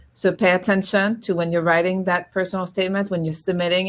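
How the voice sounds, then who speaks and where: A woman with a French accent speaks at a fairly low pitch with monotone, flat intonation. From France. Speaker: law school admissions representative. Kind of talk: panel discussion. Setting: virtual event. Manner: hesitant, many fillers.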